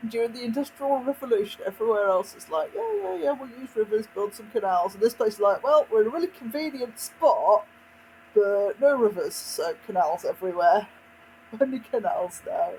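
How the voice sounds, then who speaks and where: Speaking at a moderate pace with a West Midlands accent, the voice comes through over noticeable background noise. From West Midlands, England. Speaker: video game streamer. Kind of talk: casual gameplay commentary. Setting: live stream.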